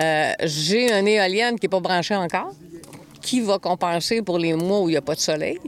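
A woman with a fairly low pitch speaks at a fairly slow pace. Her pitch variation is ordinary. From Quebec, Montreal. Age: 60s. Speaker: off-grid homesteader. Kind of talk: interview.

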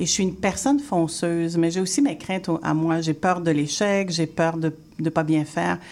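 A woman with a fairly low pitch and ordinary pitch variation uses a normal speaking voice. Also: moderate pace. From Haitian heritage, Quebec. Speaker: interior designer and teacher. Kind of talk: radio interview.

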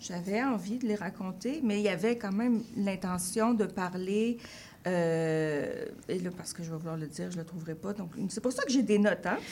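Somewhat breathy, a woman talks at a medium pitch with ordinary pitch variation. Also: moderate pace. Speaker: writer. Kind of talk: interview. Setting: radio studio.

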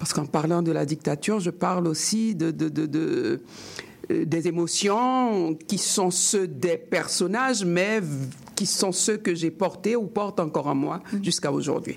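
Noticeable background noise sits behind a woman with a fairly low pitch. Her loudness stays very even, with ordinary pitch variation. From Haiti. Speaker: writer. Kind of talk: interview.

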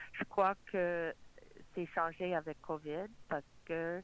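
A woman's fairly low voice in an English accent, very slow, with fairly even intonation. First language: English (speaking French). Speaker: borough mayor. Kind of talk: political interview.

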